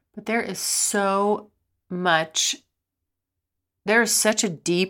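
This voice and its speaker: A woman speaks with fairly even intonation in a very clean recording with a silent background. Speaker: sex and relationships podcast host. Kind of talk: casual monologue answering listener questions. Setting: home recording. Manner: rambling, halting with many fillers.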